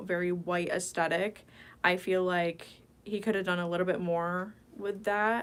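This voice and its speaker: A woman with an ordinary speaking voice talks at a moderate pace, at medium pitch, with fairly even intonation. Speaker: ASMR streamer. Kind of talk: casual livestream chatting to viewers.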